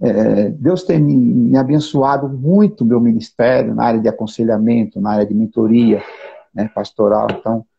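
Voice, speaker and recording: A man's somewhat breathy, medium-pitched voice with lively intonation, at a moderate pace. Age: 60s. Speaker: pastor and counselor. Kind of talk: live interview.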